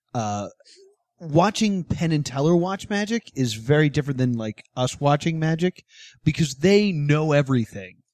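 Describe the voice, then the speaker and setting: Here is a man with an ordinary speaking voice. His pitch is fairly high and his intonation lively. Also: moderate pace. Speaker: podcast host. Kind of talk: casual comedy podcast chat. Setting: recorded live in a mall venue.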